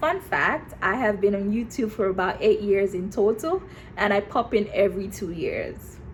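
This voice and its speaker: A woman speaks fairly slowly in an animated tone at a medium pitch, with ordinary pitch variation. Noticeable background noise is present. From Nigeria. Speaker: YouTuber. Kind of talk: vlog talk to camera.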